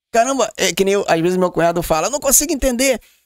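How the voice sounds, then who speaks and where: The intonation rises and falls in a lively way. A man's tone is animated. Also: quiet background, dry sound with no echo. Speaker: podcast host. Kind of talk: casual chat. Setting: studio. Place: studio. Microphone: studio mic.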